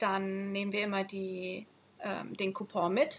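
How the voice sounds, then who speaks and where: A woman speaks at a very slow pace. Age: 30s. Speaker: schoolteacher on sabbatical. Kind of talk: casual interview.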